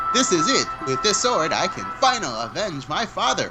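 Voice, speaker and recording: A man's put-on, nasal character voice, high in pitch, with very wide pitch swings, a moderate pace and clear music in the background. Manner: earnest, dramatic.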